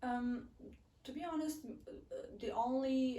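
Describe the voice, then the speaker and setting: Woman in a Neapolitan accent, dark and mellow in tone, at a fairly slow pace. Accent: Italian (Neapolitan) accent in English. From southern Italy, Naples. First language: Italian. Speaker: international student. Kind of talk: casual interview chat. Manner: halting, many fillers.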